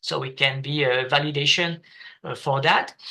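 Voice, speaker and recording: A man's bright, sharp tone over a quiet background. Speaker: planetarium presenter. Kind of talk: online meeting presentation. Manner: halting, many filler sounds.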